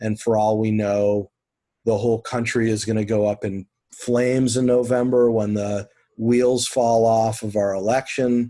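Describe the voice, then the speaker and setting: Speaking at a fairly slow pace in monotone, flat intonation, a man has a medium pitch and a dark, mellow tone over a quiet background. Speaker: college instructor. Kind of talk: online class discussion. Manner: calmer now.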